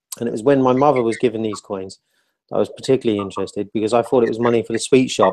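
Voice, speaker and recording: A man talks at a very fast pace with fairly even intonation. The background is quiet. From Ireland. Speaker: mobile health entrepreneur; webinar presenter. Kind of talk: interview on a video call. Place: home room. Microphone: video call.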